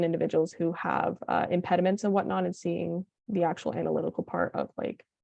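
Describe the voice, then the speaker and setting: A woman speaks against a quiet background. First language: Spanish. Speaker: undergraduate linguistics student. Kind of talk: panel Q&A.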